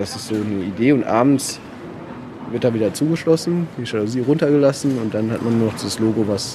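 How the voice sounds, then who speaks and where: Over noticeable background noise, a man speaks at a moderate pace in a medium pitch with ordinary pitch variation. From Germany, Paderborn (Westphalia). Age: 30s. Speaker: architect and artist. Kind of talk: interview. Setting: outdoors on a city square.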